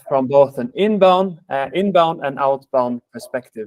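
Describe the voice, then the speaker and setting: A man with a Swedish accent speaks at a fairly slow pace in a fairly high pitch, his intonation lively and the sound dry and close with no echo. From Sweden. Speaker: sales manager, webinar host. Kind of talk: webinar presentation. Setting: online webinar. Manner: hesitant, many fillers.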